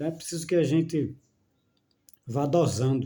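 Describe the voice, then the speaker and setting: A man's dark, mellow tone at a fairly slow pace. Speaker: spiritual video talker. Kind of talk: casual monologue on spirituality. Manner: slow, measured; halting, repetitive fillers.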